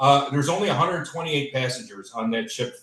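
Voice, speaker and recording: This man talks with a Chicago accent. His voice is somewhat breathy and fairly high in pitch. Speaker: cruise company representative. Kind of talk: sales presentation. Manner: casual with many filler words.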